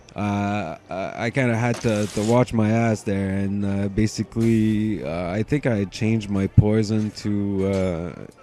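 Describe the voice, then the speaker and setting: Using a fairly low pitch and fairly even intonation, a man speaks at a fairly slow pace with hardly any pauses. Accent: Quebec. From Quebec, Montreal. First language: French. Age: 20s. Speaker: gaming commentator. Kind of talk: gameplay commentary. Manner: halting, many fillers and repetitions; casual, laid-back.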